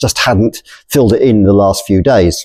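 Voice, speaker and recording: Delivered at a fairly quick pace with lively intonation, the speech has a dark, mellow tone and an English accent. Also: man. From England. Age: 60s. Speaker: storyteller. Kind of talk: personal storytelling.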